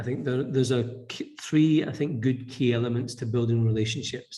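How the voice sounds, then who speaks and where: Somewhat breathy and in a dark, mellow tone, a man with a Scottish accent talks at a medium pitch and moderate pace with fairly even intonation and audible room echo. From Scotland. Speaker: business leader. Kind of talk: podcast interview. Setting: office.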